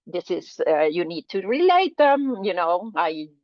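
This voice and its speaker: Her pitch leaps and dips across a very wide range. The woman talks at a fairly slow pace. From Argentina. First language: Spanish. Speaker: atmospheric scientist. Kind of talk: lecture. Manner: halting.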